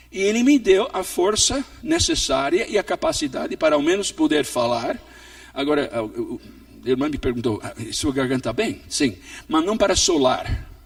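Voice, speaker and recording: There is noticeable background noise as a man talks with a high pitch. His voice makes very wide pitch swings. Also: moderate pace. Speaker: pastor and missionary. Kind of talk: sermon. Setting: church.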